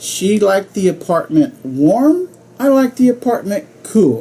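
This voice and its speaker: There is an American accent in this man's speech. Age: 60s. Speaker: club speaker. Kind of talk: humorous speech.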